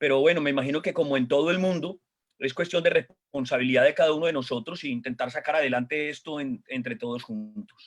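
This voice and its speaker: A man with a strong Colombian accent speaks at a very fast pace. His pitch is fairly high. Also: ordinary pitch variation. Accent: Colombian accent, still strong. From Colombia, Medellín. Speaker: pastor. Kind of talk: casual chat on a church panel program.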